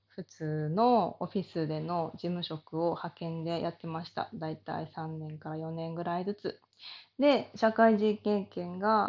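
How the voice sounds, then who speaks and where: At a fairly slow pace, a woman speaks in a relaxed tone at medium pitch, her intonation lively and her loudness swinging widely. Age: 30s. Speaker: body therapy salon owner. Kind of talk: casual monologue.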